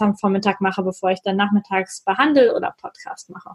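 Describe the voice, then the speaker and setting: A woman's somewhat breathy voice comes through in a dry, close sound with no echo. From northern North Rhine-Westphalia, Germany. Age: 30s. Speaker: physiotherapist. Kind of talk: interview.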